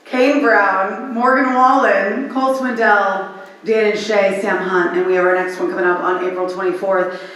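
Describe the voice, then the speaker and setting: An animated woman's voice with ordinary pitch variation and hardly any pauses, over noticeable background noise and audible room echo. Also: medium pitch for a woman, moderate pace. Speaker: radio personality. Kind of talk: conference panel talk.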